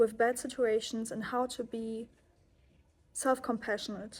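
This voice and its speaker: A woman with a German accent speaks fairly slowly in a fairly high, flat, monotone voice. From Germany. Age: 20s. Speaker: yoga and self-help vlogger. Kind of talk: personal vlog monologue. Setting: holiday accommodation abroad.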